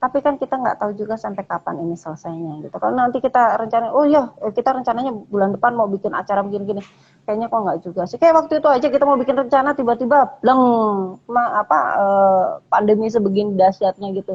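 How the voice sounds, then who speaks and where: A woman's fairly high, somewhat breathy voice at a very fast pace with lively intonation. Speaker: dancer and lecturer. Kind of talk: casual interview chat. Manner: hesitant, many fillers.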